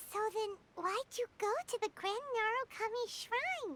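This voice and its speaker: In a put-on character voice, the speaker squeaks along at an extremely high pitch and a fairly slow pace. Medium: video game. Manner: excitable.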